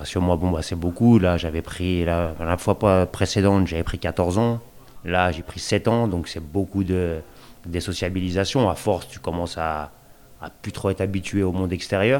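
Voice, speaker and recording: At a fairly slow pace, a man speaks in a very deep, low pitch with fairly even intonation. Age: 40s. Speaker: resident on prison day release. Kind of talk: interview, personal testimony. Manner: casual, colloquial, hesitant.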